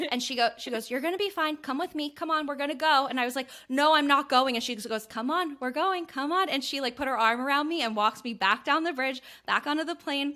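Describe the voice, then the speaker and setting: A woman talks at a very fast pace with an American accent. Her high, raised voice projects with a bright, sharp tone. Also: ordinary pitch variation, very clean recording, silent background. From Ohio, US Midwest. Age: 20s. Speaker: podcast co-host. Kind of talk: casual chat, personal storytelling. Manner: animated.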